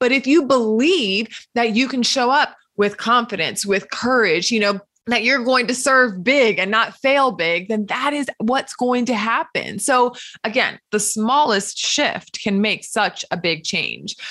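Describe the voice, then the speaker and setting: The woman's tone is bright, sharp and enthusiastic, her pitch fairly high. She talks at a fairly slow pace with ordinary pitch variation. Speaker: podcast host. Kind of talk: interview.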